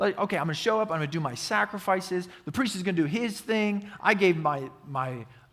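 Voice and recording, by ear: The recording has reading aloud in a natural voice.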